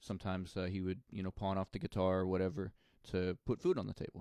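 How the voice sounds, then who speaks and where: A man with an American accent, fairly low-pitched, at a fairly quick pace, the sound dry and close with no echo on a very clean recording with a silent background. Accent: slight country accent, mostly when drinking. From rural Missouri, US Midwest. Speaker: musician. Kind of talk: interview.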